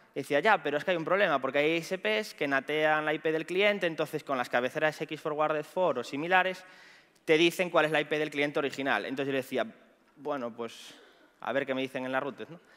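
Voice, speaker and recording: A man speaks with a Galician accent in a bright, sharp tone. His pitch is fairly high with ordinary variation, against a quiet background. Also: fairly quick pace. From Galicia, Spain. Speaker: pentester and conference speaker; conference speaker. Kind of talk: conference talk. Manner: fast. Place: stage.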